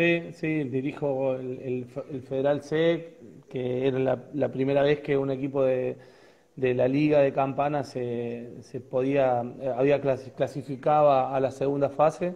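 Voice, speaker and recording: A man with a medium-pitched voice speaks at a fairly slow pace in a flat, monotone delivery. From Argentina, Córdoba province (Río Tercero); Córdoba province, Argentina. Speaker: football coach, former player; football coach. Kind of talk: interview. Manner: hesitant, many repetitions. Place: home room. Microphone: earbuds.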